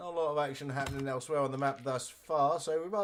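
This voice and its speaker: A fairly high-pitched man talking very fast with ordinary pitch variation, against noticeable background noise. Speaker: esports caster. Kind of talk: live commentary.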